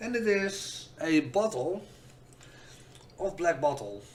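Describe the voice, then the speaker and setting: This man's intonation is lively. His voice sits high. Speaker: whisky reviewer, content creator. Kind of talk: casual review talk to camera. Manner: hesitant, stuttery.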